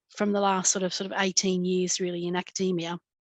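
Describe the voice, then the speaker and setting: A woman with an Australian accent speaks at a moderate pace in a medium pitch. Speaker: midwife and lactation lecturer. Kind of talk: interview.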